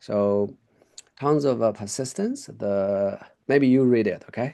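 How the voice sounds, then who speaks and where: The man speaks at a fairly slow pace in a dark, mellow tone. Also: medium pitch for a man, ordinary pitch variation. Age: 40s. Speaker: English tutor. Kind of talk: online English lesson. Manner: halting, many fillers.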